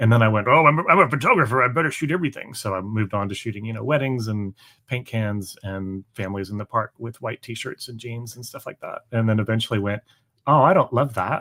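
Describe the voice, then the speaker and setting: At a very fast pace, a man with an American accent speaks in a bright, sharp tone at medium pitch with ordinary pitch variation and big swings in loudness, the sound dry and close with no echo. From Canada. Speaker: performing arts photographer and musician. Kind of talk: live interview chat. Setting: live stream.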